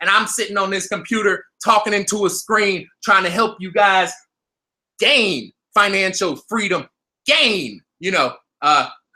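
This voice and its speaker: A man speaks in a raised, projected voice with a high pitch and a bright, sharp tone. He sounds animated, with ordinary pitch variation. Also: fairly slow pace. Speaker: crypto trading youtuber. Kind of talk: live stream market commentary. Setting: live stream at computer.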